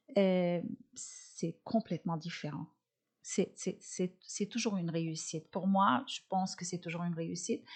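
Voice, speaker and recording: The speaker has a non-native accent and is somewhat breathy. The pace is fairly slow with ordinary pitch variation. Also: woman, medium pitch for a woman. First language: not French (speaking French). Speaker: comedian and nutritionist. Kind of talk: interview. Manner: halting, many fillers.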